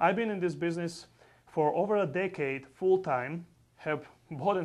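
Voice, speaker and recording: The speaker talks at a fairly quick pace with a non-native accent and ordinary pitch variation. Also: man. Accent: foreign. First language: not English. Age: 40s. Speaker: real estate investor. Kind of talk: sales pitch. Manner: animated.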